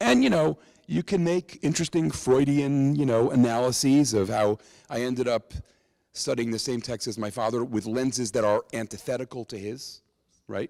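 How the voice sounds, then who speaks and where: Close and dry with no echo, a man's dark, mellow voice at medium pitch sits on a very clean recording with a silent background. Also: ordinary pitch variation, moderate pace. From New York. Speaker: rabbi and Bible teacher. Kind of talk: public talk with Q&A. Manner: conversational, many fillers.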